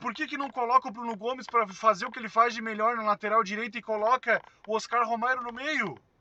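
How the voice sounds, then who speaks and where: A man talks at an extremely high pitch in a raised, projected voice. His pace is very fast, with big swings in loudness. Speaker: football commentator. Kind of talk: post-match commentary. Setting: in a car. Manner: animated. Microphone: poor audio capture.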